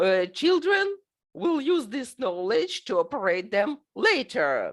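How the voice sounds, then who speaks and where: A woman with a Russian accent, high-pitched, with very wide pitch swings and a very slow pace. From Ukraine. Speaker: teacher and conference presenter. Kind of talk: recorded conference presentation. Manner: halting, many filler sounds.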